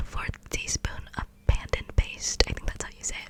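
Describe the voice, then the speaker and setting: Noticeable background noise surrounds a voice that is whispering. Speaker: ASMR creator. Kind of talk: ASMR personal attention roleplay. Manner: whispered.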